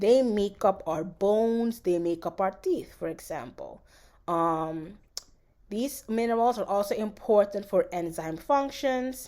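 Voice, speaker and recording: Speaking at a fairly slow pace with lively intonation, a woman comes through in a very clean recording with a silent background. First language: Dutch. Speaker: college biology instructor. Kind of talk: lecture. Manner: halting.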